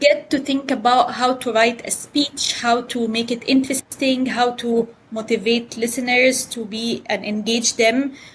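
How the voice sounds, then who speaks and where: Her pitch is high, and this woman speaks in an Arabic accent at a fairly slow pace with hardly any pauses. There is noticeable background noise. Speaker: economics professor. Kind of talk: interview. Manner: animated.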